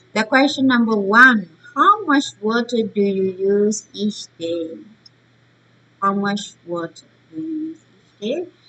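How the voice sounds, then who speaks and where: A woman with a Burmese accent speaks at a fairly slow pace, with long, frequent pauses. Her fairly high pitch rises and falls in lively intonation. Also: big swings in loudness. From Myanmar. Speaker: teacher. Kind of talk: online lesson. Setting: recorded online session. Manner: halting.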